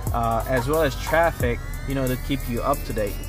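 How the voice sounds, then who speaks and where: The sound is dry, with no echo, as a man talks. Clear music runs in the background. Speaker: car audio installer demonstrating. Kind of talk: tutorial. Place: car. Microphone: phone near.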